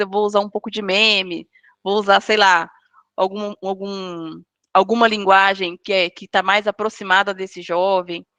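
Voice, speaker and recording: A woman speaks at medium pitch and a moderate pace, her tone bright and sharp and her intonation monotone and flat. The sound is dry and close with no echo, over a quiet background. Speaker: guest speaker on storytelling. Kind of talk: online lecture.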